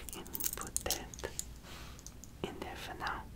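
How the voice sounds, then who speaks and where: A man whispers over noticeable background noise. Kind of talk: ASMR roleplay, personal attention show-and-tell. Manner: whispered, soft-spoken.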